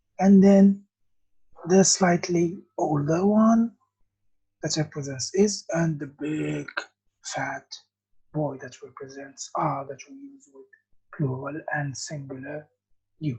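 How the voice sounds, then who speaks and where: With an Arabic accent, a woman speaks at a very slow pace with long, frequent pauses. Her very deep, low voice has a dark, mellow tone, a somewhat breathy quality and lively intonation. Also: big swings in loudness. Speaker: English teacher. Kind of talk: lesson. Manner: slow, repetitive.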